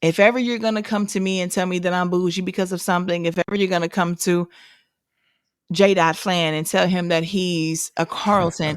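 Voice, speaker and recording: Very clean with a silent background, the recording captures a woman with an American accent speaking at a fairly quick pace, a medium pitch and fairly even intonation. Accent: St. Louis accent, comes out when angry. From St. Louis, Missouri, US. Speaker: podcast co-host. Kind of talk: casual chat.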